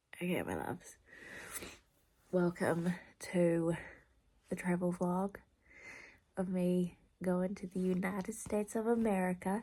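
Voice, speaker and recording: A somewhat breathy woman speaks at a fairly slow pace in a monotone, flat intonation, with long, frequent pauses. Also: medium pitch for a woman. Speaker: vlogger. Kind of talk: casual vlog talk.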